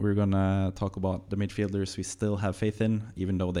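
On a very clean recording with a silent background, a man with a Norwegian accent speaks fairly quickly in a very deep, low voice with a dark, mellow tone. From Norway. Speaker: podcast host. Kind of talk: casual chat. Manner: upbeat.

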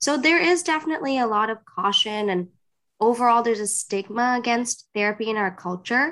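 A woman with an unremarkable speaking voice talks at a fairly quick pace, her fairly high pitch moving in lively intonation. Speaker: licensed psychotherapist. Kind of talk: interview about therapy.

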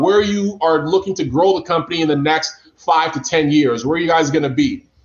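The speaker talks at a fairly quick pace in an animated tone, with ordinary pitch variation. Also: man. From Africa. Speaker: podcast host. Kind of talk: casual interview.

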